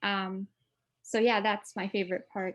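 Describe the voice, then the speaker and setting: Speaking at a fairly slow pace with monotone, flat intonation, a woman with a slight non-native accent is heard in a very clean recording with a silent background. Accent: barely noticeable foreign. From Denmark. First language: Danish. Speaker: author. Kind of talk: interview. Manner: hesitant, many fillers.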